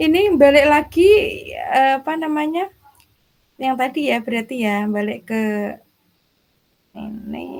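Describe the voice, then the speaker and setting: Soft-spoken and high-pitched, a woman talks at a fairly slow pace with lively intonation and long, frequent pauses. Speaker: teacher in coaching training. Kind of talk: casual chat. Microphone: too quiet.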